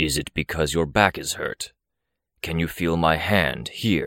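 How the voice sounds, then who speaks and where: In a put-on character voice, a man growls at a very deep, low pitch and a fairly slow pace, on a dry, close recording with no echo, very clean and with a silent background. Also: ordinary pitch variation. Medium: read story. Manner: calm, measured.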